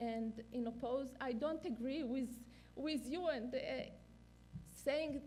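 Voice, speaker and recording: A woman speaks at a high pitch with a dark, mellow tone. Her moderate pace is heard with audible room echo. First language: not English. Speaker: neonatal clinician and researcher. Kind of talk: conference lecture. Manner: halting, many fillers.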